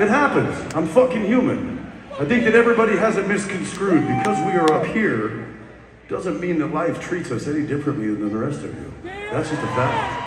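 Over noticeable background noise and audible room echo, a man speaks at a moderate pace. His pitch swings very widely. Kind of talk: stage banter to audience. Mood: apologetic then joking. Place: stage.

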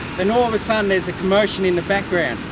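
Loud background noise fills the clip. The sound is dry with no echo. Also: man. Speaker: walking tour guide. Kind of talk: storytelling tour talk. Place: street. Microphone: camera far.

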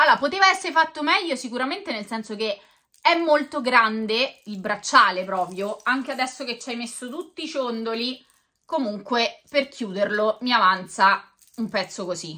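A woman's animated, high voice with a bright, sharp tone, very wide pitch swings, big swings in loudness, a moderate pace and a quiet background. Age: 40s. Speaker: YouTuber. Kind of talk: unboxing video monologue. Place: home room. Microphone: camera far.

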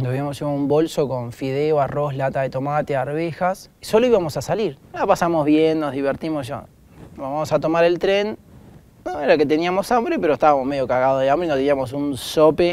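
A man speaks at a fairly quick pace with ordinary pitch variation. The sound is dry, with no echo. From Argentina. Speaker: doctor; interviewee. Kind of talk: interview. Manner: casual. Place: stage. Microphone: lapel.

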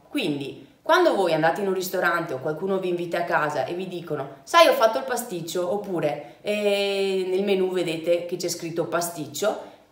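With hardly any pauses, a woman speaks at a moderate pace and fairly low pitch with ordinary pitch variation, and room echo is audible. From Vicenza, Veneto, Italy. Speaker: travel vlogger. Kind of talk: casual talk to camera. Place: home room.

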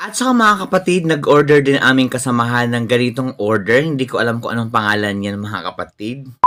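A man has a plain, everyday voice. He speaks at a medium pitch with lively intonation. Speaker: travel and food vlogger. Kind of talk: vlog narration. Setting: outdoors at open-air restaurant. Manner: casual, filler-heavy.

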